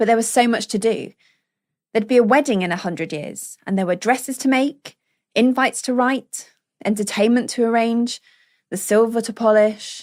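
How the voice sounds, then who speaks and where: In a very clean recording with a silent background, a woman speaks at a moderate pace, her fairly high pitch moving with ordinary variation. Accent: British RP. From England. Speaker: voice actor. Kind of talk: audiobook narration.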